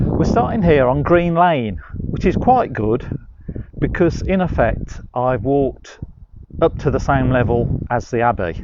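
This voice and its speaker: A man's medium-pitched voice with lively intonation at a fairly slow pace, over noticeable background noise. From West Midlands, England. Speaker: walking tour guide. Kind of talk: live-streamed walking tour. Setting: outdoors on a walk. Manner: casual, hesitant with fillers.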